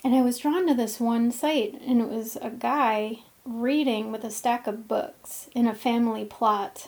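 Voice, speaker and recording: A plain, everyday voice at a fairly slow pace, with hardly any pauses and ordinary pitch variation. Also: woman, fairly high pitch for a woman. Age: 40s. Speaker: intuitive coach and healer. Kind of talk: casual monologue; guided meditation.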